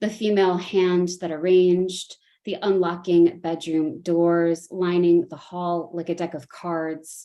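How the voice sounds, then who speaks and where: With a Chicago accent, a woman speaks in a fairly low pitch and monotone, flat intonation, with hardly any pauses. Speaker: poet. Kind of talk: poetry reading. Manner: hesitant with fillers between poems.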